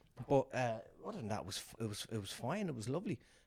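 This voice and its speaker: A man talks at a very fast pace in a Dublin accent. His pitch sits at medium. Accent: Irish (Dublin). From Dublin, Ireland. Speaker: stand-up comedian and quiz master. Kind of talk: casual podcast storytelling.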